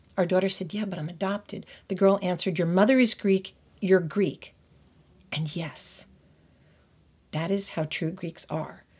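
With an American accent, the speaker talks at a moderate pace, leaving long, frequent pauses in a somewhat breathy voice. Intonation stays fairly even in a very clean recording with a silent background. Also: woman, medium pitch for a woman. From United States. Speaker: podcast host. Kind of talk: scripted narration.

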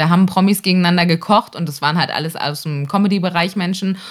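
A woman talks in a normal speaking voice, fairly low in pitch, with ordinary pitch variation. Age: 30s. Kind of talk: casual chat. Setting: video call. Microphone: close to the camera and mic, makeshift setup.

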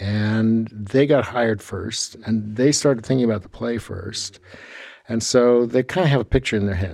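This man has an unremarkable speaking voice with an American accent, medium pitch, ordinary pitch variation and a moderate pace. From California, Sacramento. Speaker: theatre designer and professor. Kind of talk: interview. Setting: theatre on campus.

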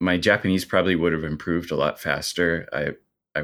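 Fairly quick and in a monotone, flat intonation, a man with a very deep, low pitch speaks with a Midwestern American accent. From US Midwest (small-town Indiana). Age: 30s. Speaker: bar owner and video editor. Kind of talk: interview conversation.

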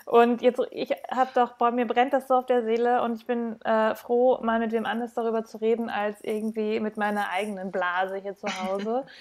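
A woman speaks at a moderate pace with a fairly high pitch. Her intonation stays fairly even, with hardly any pauses. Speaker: podcast host. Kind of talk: casual interview.

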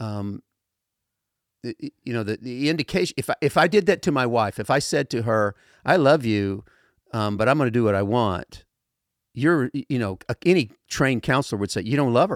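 Speaking at a fairly quick pace with lively intonation, a man's voice sits at a medium pitch. The recording is very clean with a silent background, and the sound is dry and close with no echo. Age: 60s. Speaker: pastor. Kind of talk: casual chat about scripture. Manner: halting.

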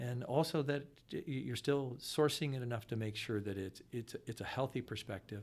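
In an American accent, a man with an unremarkable speaking voice talks at a moderate pace, his medium pitch showing ordinary variation. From US Midwest (Akron, Ohio). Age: 60s. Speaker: financial consultant. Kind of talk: casual interview.

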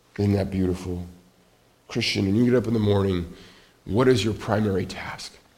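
Over audible room echo, a man with a fairly low pitch and fairly even intonation speaks at a fairly quick pace, broken by long, frequent pauses. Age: 40s. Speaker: pastor. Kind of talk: sermon.

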